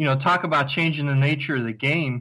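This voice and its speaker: A man with an American accent, fairly high-pitched and bright and sharp in tone, at a fairly quick pace. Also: very clean recording, silent background. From US Ohio, Cleveland. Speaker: overseas fan guest. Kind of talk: casual interview.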